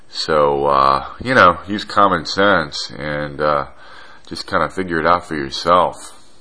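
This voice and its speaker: A man's very deep, low voice at a fairly slow pace with ordinary pitch variation, over noticeable background noise. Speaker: radio host. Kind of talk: casual talk show monologue. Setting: talk show. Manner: rambling, hesitant, conversational.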